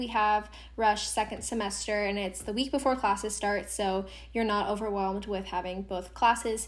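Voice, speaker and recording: A woman with an American accent and a plain, everyday voice, fairly high in pitch, at a fairly quick pace with fairly even intonation. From US Pacific Northwest, Seattle. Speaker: university student. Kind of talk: casual interview. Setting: remote recording.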